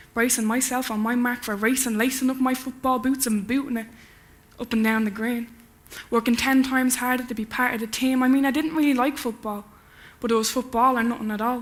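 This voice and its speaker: A high-pitched woman with an Irish accent, at a fairly quick pace, in monotone, flat intonation. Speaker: spoken word poet. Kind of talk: conference talk; poetry performance. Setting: stage with audience. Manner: fast.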